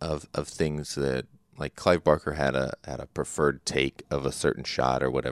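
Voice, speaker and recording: A man talks at a fairly slow pace with vocal fry. The sound is dry and close, with no echo. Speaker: film podcast host. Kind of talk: casual solo podcast monologue. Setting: home recording setup with mic boost. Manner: rambling, hesitant with many fillers.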